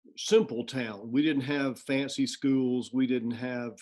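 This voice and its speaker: A man with an American accent talks at a moderate pace and medium pitch in an ordinary speaking voice. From US South, Georgia. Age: 60s. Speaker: music college president. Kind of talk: interview conversation.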